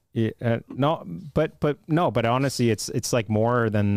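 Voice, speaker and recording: A man at a moderate pace, with ordinary pitch variation, on a very clean recording with a silent background. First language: Italian. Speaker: runner. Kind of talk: casual chat. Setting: studio.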